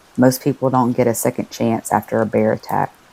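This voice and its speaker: Monotone, flat intonation in dry, close sound with no echo. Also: woman. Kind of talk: sleep story. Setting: rain sounds in background.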